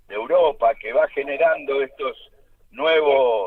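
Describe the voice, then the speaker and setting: In an Argentine accent, a man speaks at a very slow pace. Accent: Argentine Spanish (Rioplatense). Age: 70s. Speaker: political activist. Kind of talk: radio interview. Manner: halting.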